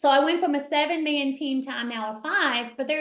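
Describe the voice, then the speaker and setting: At a fairly quick pace, a woman with a Kentucky accent talks in a high pitch with lively intonation. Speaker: realtor and team leader. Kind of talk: mastermind talk.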